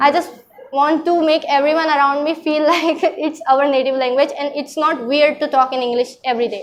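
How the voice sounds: With an American accent, a high-pitched woman speaks at a moderate pace using fairly even intonation. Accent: American-tinged English.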